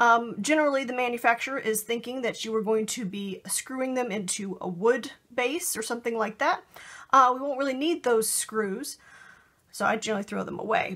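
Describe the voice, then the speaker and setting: A woman's bright, sharp voice with ordinary pitch variation over a quiet background. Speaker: crafting tutorial host. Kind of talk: tutorial. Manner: fast; casual with many fillers. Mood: friendly, enthusiastic.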